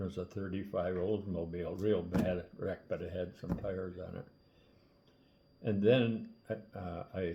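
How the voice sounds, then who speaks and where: Speaking at a fairly slow pace, a man uses a very deep, low, somewhat breathy voice with fairly even intonation. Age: 80s+. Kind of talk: casual storytelling. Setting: kitchen table.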